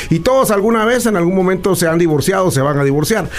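A man speaks with lively intonation. Audible room echo and noticeable background noise surround his voice. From Guatemala. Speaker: political commentator. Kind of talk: interview.

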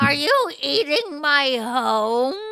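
A female-sounding, put-on character voice comes through at a high pitch. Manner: cackling, sinister.

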